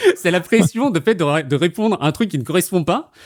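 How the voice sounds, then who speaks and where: A loud, high-pitched man's voice makes very wide pitch swings, with a dry, close sound and no echo. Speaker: quiz host and streamer. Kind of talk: casual quiz-show chat explaining rules. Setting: live stream on Discord call. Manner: animated, with fillers.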